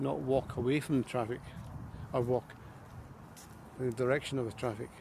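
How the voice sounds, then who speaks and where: Somewhat breathy, a man speaks at a medium pitch and fairly quick pace with ordinary pitch variation. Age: 60s. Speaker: vlogger. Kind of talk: casual walking vlog monologue. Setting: outdoors, walking by the river.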